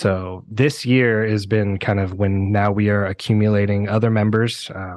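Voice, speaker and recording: An unremarkable speaking voice with fairly even intonation against a quiet background. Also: man. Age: 30s. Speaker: metal band vocalist. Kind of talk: casual chat.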